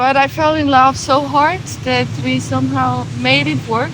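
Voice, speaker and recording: A woman with a fairly high pitch speaks at a fairly slow pace, her voice making very wide pitch swings amid audible room echo and noticeable background noise. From Switzerland. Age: 20s. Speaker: van traveler. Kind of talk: interview, personal story.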